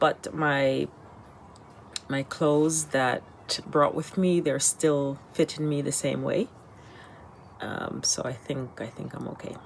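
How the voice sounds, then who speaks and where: A woman with an American accent talks at a very slow pace with a very deep, low pitch and fairly even intonation. Long, frequent pauses break her speech over noticeable background noise. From United States. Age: 50s. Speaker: vlogger, retired teacher. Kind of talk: casual vlog update. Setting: temporary location while travelling.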